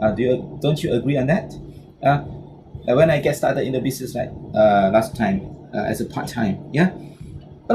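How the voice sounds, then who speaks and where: A man with a Malaysian accent, against noticeable background noise. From Malaysia, Penang. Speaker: business trainer. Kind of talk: motivational talk. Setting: online video session. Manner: halting, many fillers and repetitions.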